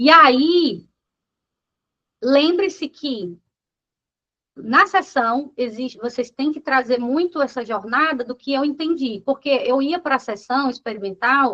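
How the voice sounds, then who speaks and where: A raised, projected voice with a bright, sharp tone and lively intonation moves at a very slow pace, broken by long, frequent pauses. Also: woman, high pitch for a woman. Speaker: business coach. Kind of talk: lecture.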